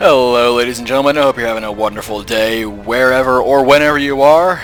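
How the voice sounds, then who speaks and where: Over music in the background, a man with a medium pitch speaks at a very fast pace with fairly even intonation. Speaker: gaming commentator. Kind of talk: gameplay commentary. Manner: casual, rambling.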